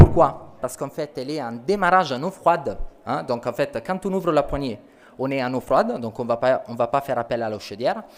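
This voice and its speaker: A man's fairly high pitch in an Italian accent, with lively intonation and a fairly quick pace. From Italy. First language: Italian (speaking French). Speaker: company sales representative. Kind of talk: product presentation.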